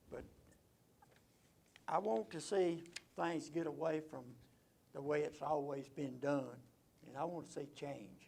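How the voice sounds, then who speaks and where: A man with an Alabama accent speaks fairly slowly in a fairly high voice with vocal fry. He leaves long, frequent pauses, and the room echo is audible. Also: ordinary pitch variation. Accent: Southern US (Alabama). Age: 70s. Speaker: city council candidate. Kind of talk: campaign speech at a candidate forum. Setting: conference room.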